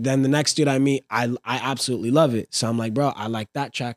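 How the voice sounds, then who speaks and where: Speaking at a fairly quick pace in a plain, everyday voice, a man with an American accent keeps a medium pitch and fairly even intonation, with a dry, close sound with no echo. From Fresno, California. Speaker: rapper. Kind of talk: casual chat. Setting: home recording.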